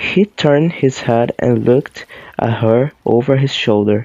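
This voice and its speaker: A man speaks very slowly in a Portuguese accent. His pitch is medium, with ordinary variation. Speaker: YouTuber reading aloud. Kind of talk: reading aloud; casual chat. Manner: halting, stumbles over words.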